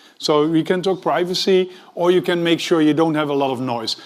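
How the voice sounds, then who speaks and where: A man speaks with a Dutch accent. His pace is fairly quick. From Netherlands. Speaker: tech executive, conference speaker. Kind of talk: conference talk.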